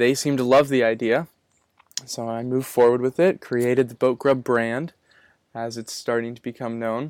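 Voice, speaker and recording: A man's plain, everyday voice at a medium pitch and moderate pace, with fairly even intonation, big swings in loudness, and a dry, close sound with no echo. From Massachusetts North Shore. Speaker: small business founder. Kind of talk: interview.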